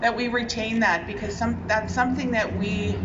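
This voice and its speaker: A woman's fairly high voice with a Canadian accent at a moderate pace, with audible room echo and noticeable background noise. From Winnipeg, Manitoba, Canada (Ojibwe). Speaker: provincial politician. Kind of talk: public speech at outdoor ceremony. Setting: outdoors at flag-raising ceremony.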